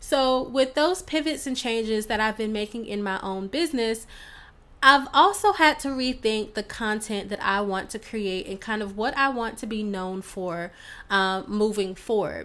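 A woman with a bright, sharp tone and fairly high pitch talks at a moderate pace. Her pitch varies in an ordinary way, and the recording is very clean with a silent background. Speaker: podcast host, entrepreneur. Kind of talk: solo podcast monologue. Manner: casual, chatty.

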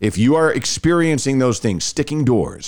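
In an American accent, a man speaks at a moderate pace on a very clean recording with a silent background. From Rockwall area, Texas. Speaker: podcast host, former radio host. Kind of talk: casual chat.

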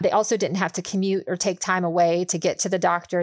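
Speaking in an American accent, a woman uses a medium pitch. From US, Pittsburgh area, Pennsylvania. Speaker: healthcare lawyer. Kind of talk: interview, expert explanation.

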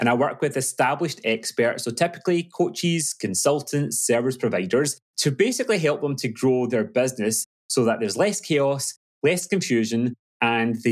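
With a West Coast Scottish accent, a man speaks at medium pitch and a moderate pace with lively intonation. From Glasgow, Scotland. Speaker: business coach. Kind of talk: casual interview chat.

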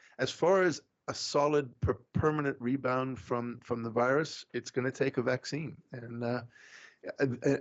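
A man speaks with a South African accent. His intonation stays fairly even. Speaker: economist. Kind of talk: interview.

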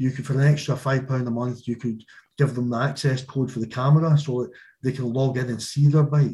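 With a strong Glaswegian accent, a man talks at a fairly quick pace in a medium-pitched, somewhat breathy voice, dark and mellow in tone, with monotone, flat intonation. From Scotland, Glasgow. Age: 50s. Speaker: small business owner. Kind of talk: casual interview chat.

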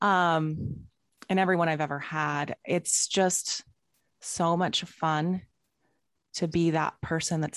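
A woman speaks with a very deep, low pitch in a monotone, flat intonation. The sound is dry and close with no echo, and the background is quiet. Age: 40s. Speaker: life coach. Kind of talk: casual interview chat.

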